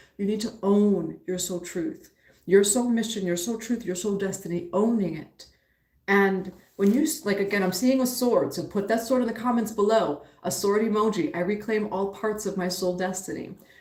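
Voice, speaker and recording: A woman with an American accent speaks at a moderate pace and a medium pitch, with ordinary pitch variation and audible room echo. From New York, the Bronx. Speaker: spiritual teacher and tarot reader. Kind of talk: live-stream reading and spiritual teaching.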